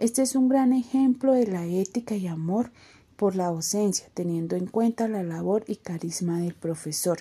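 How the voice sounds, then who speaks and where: Somewhat breathy and dark, mellow in tone, a woman speaks at a fairly slow pace with medium pitch and ordinary pitch variation. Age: 20s. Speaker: university student. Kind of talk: scripted narration.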